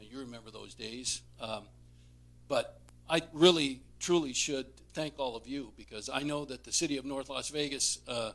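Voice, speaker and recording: Using a normal speaking voice, a man with an American accent talks at a moderate pace and a fairly high pitch, his intonation fairly even but his loudness swinging widely. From Southern Nevada. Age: 60s. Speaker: retiring labor lobbyist. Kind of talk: speech at council meeting. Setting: city council meeting.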